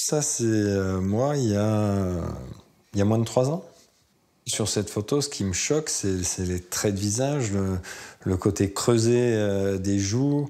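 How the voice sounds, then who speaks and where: A man with a dark, mellow tone and a fairly low pitch talks at a very slow pace, with long, frequent pauses and ordinary pitch variation. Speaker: restaurant waiter in recovery; interviewee. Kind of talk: interview. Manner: halting. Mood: reflective, calm. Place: home room.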